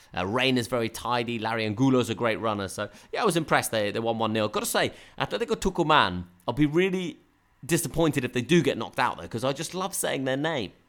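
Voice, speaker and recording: Delivered at a very fast pace in a southern English accent, the speech has lively intonation. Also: man, medium pitch for a man. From southern England (Brighton). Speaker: football podcast host. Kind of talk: casual chat. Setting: Skype call.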